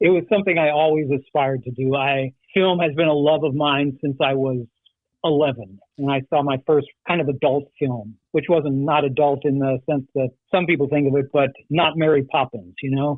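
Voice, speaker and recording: Using a plain, everyday voice, a man talks at a moderate pace with a fairly high pitch and fairly even intonation. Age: 60s. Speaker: actor. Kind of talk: interview.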